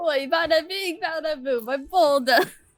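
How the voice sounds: This put-on character voice is squeaky and high-pitched, with a Brooklyn accent as part of the act. The pace is moderate.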